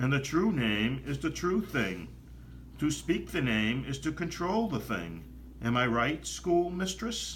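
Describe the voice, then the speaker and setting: A man's put-on character voice, husky and soft-spoken, at a fairly slow pace, with clear background noise. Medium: read story. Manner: shy, nervous.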